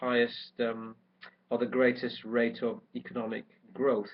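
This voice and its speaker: A man speaks at a medium pitch. His intonation is monotone and flat. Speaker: orthopaedic doctor on a medical trip. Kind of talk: video diary. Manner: halting, many fillers.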